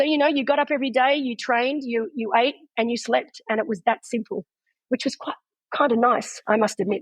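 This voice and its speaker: A woman with an Australian accent, high-pitched and fairly quick, with ordinary pitch variation and a dry, close sound with no echo. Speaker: retired pro triathlete and race commentator. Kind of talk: interview answer.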